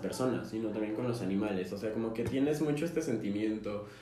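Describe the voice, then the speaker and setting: A man speaks with ordinary pitch variation against noticeable background noise and audible room echo. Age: 20s. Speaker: podcast co-host, engineering student. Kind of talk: casual chat.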